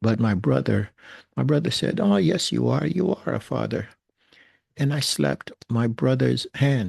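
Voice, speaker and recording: A man with a New York accent speaks at a fairly slow pace, his loudness very even. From New York, Brooklyn. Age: 60s. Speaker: recovering alcoholic sharing story. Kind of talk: personal testimony. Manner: hesitant, many fillers.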